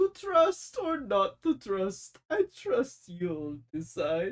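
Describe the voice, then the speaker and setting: A put-on character voice with a fairly high pitch. The tone is playful and theatrical, and the pace is very slow. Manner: playful, theatrical.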